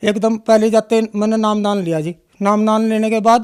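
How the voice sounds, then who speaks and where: This man has a high pitch and monotone, flat intonation. The sound is dry and close, with no echo. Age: 60s. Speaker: devotee giving testimony. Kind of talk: testimony. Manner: halting, with filler sounds.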